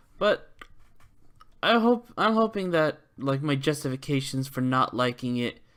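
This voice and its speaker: A fairly slow pace in a very clean recording with a silent background. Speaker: vlogger. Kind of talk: casual monologue vlog. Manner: stumbling, hesitant with fillers.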